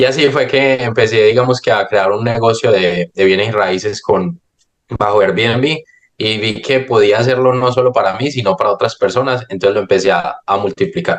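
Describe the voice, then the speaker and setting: A man at a medium pitch and moderate pace. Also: ordinary pitch variation. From Colombia, Medellín. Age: 20s. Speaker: real estate investor. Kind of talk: podcast interview. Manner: hesitant, many fillers and repetitions.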